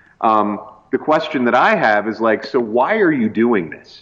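Speaking with a Canadian accent, a man at a medium pitch lets his voice swing very widely up and down. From rural Canada. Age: 30s. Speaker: pastor and comedian. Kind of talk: casual chat.

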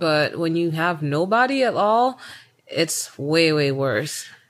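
A woman speaks at a very slow pace with an American accent. Her pitch is fairly low. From Tanzania, with childhood in the US. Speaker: podcast co-host. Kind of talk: casual chat.

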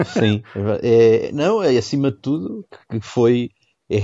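A man's medium-pitched voice with a dark, mellow tone, set against a quiet background. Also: dry, close sound with no echo. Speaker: podcast co-host. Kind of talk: casual chat. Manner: hesitant, many fillers and repetitions.

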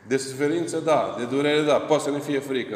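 Speech moves at a moderate pace with noticeable background noise and audible room echo. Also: man. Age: old. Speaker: Orthodox priest. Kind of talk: sermon.

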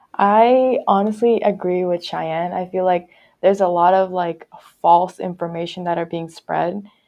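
A woman uses a normal speaking voice, her pitch medium and her intonation fairly even as she talks at a moderate pace. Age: young. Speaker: social media intern. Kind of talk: casual chat. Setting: in-person studio recording.

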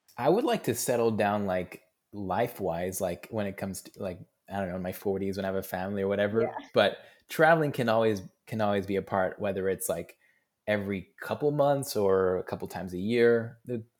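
In an American accent, the speaker moves at a fairly quick pace with ordinary pitch variation, captured in a very clean recording with a silent background. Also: man, fairly low pitch for a man. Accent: plain American. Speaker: entrepreneur, founder of a youth initiative. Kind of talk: casual interview chat.

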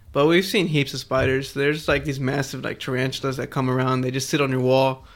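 A man's fairly high voice, fairly quick and monotone, with flat intonation. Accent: American. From Houston, Texas. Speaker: podcaster. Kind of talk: casual chat. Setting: in person, at home.

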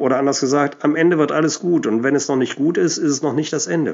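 With vocal fry, a man speaks at a fairly high pitch with ordinary pitch variation. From Germany, Cologne. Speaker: Cologne dialect music enthusiast and DJ. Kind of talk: prepared talk about a song.

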